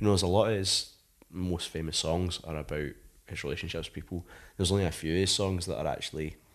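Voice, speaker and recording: In a west of Scotland accent, a man with a very deep, low pitch talks at a very fast pace with fairly even intonation against a quiet background. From Scotland, Paisley. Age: 20s. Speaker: rock musician. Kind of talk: casual chat. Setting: at home.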